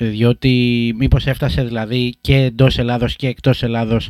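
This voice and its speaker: An unremarkable speaking voice from a man, medium in pitch, at a fairly slow pace with fairly even intonation, in a dry, close sound with no echo on a very clean recording with a silent background. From Greece, Sparta and Corfu. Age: 30s. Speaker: podcast host. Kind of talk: interview conversation.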